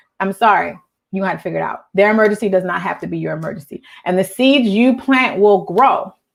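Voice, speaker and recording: The delivery is very fast and animated in tone, with ordinary pitch variation. Vocal fry runs through the voice. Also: woman, medium pitch for a woman. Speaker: nonprofit coach. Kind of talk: live stream talk. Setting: live video stream.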